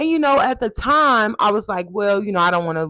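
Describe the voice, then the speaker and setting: With an American accent, a woman at medium pitch makes very wide pitch swings, the sound dry and close with no echo. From Texas. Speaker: podcast host, actress and singer. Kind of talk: casual monologue podcast. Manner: animated.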